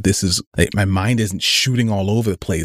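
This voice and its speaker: On a very clean recording with a silent background, a man with an ordinary speaking voice talks at a fairly quick pace, fairly low in pitch with ordinary pitch variation. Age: 30s. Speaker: podcast host. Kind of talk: solo casual monologue.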